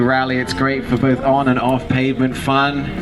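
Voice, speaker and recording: Audible room echo and noticeable background noise fill the recording. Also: man. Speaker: event presenter. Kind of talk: event announcement to a crowd.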